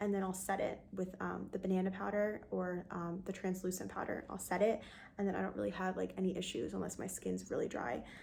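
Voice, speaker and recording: Soft-spoken woman at a fairly quick pace. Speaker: beauty vlogger. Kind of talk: casual talk to camera.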